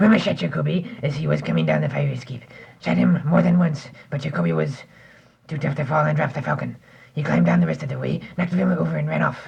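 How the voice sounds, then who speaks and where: A man puts on a raspy character voice at medium pitch and talks at a very fast pace. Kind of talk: amateur 1940s-style radio acting. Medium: audio drama. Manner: florid, hesitant, many 'uh's, overly polite 'sir'.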